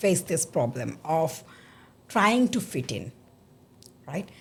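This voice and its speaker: A woman at medium pitch, fairly slow, with very wide pitch swings. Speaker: podcast host. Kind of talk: interview. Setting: studio.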